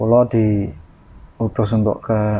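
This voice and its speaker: The speaker is a man. His pitch sits fairly low. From Gunungkidul, Yogyakarta, Indonesia. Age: 20s. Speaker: wayang kulit puppeteer (dalang). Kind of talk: interview answer. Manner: casual.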